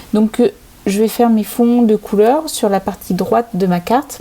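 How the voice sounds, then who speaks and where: A woman talks at a moderate pace over noticeable background noise. Her pitch is medium, with ordinary pitch variation. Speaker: crafting channel host. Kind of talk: tutorial. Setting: home desk filmed by overhead camera. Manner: hesitant, many filler sounds.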